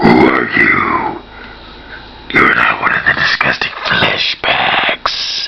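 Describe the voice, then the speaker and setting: Growling in a put-on character voice with an extremely high pitch, a man speaks at a very slow pace. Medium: read story. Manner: cold, contemptuous.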